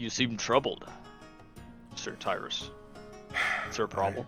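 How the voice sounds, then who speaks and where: Over clear background music, a man does a put-on character voice at a moderate pace and medium pitch. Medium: actual play. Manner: polite, formal.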